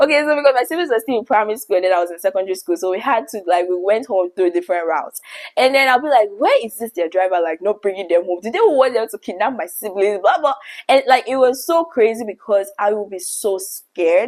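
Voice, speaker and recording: A woman talks at a very fast pace in a Nigerian accent. Her fairly high pitch carries lively intonation. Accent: Nigerian, vibrant. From Nigeria, Lagos. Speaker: YouTuber. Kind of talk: storytelling monologue.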